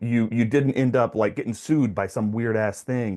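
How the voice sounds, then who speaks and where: Over a quiet background, a man talks at a moderate pace. He has a normal speaking voice at medium pitch. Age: 40s. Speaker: podcast host and real estate investor. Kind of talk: casual interview conversation.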